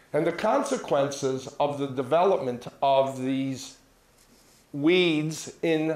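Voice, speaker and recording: A man with an American accent speaks with ordinary pitch variation, and room echo can be heard. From US Midwest, rural Minnesota. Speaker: physician; presenter. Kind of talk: lecture. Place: hall. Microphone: handheld.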